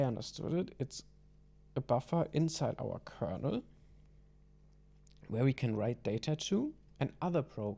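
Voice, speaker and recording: A man's medium-pitched voice carries a dark, mellow tone with vocal fry and lively intonation. He leaves long, frequent pauses. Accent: non-native. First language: not English. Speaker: hobby programmer. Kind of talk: programming tutorial talk. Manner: hesitant, casual.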